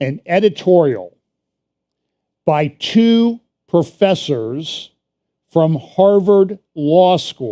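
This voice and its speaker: The tone is dark and mellow, with lively intonation at a very slow pace and long, frequent pauses. The sound is dry and close, with no echo. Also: man, high pitch for a man. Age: 60s. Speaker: church prophecy teacher. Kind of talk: sermon. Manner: casual conversational.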